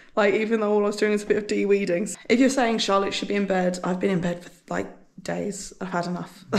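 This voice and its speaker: Talking very fast in a monotone, flat way, a woman at medium pitch is heard with audible room echo. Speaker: homesteading vlogger. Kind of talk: casual vlog chat.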